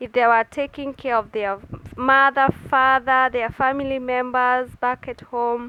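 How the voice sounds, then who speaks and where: Speaking at a fairly slow pace, a woman uses a raised, projected voice that is high-pitched and bright and sharp, with a dry, close sound and no echo. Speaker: nurse. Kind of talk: casual vlog talk. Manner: halting.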